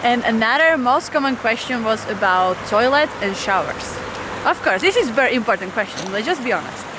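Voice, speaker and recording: Over noticeable background noise, a woman talks at a fairly quick pace. Her voice is high-pitched with lively intonation. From Slovakia. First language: Slovak. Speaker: van-life vlogger. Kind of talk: casual Q&A vlog.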